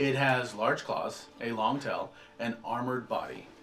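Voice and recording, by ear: Music plays in the background while a man speaks at a medium pitch and a very slow pace.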